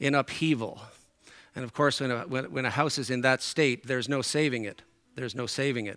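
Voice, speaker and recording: Speaking at a fairly quick pace, a man with a bright, sharp tone shows ordinary pitch variation in a very clean recording with a silent background. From Newfoundland, Canada. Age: 60s. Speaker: preacher. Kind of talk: sermon. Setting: church.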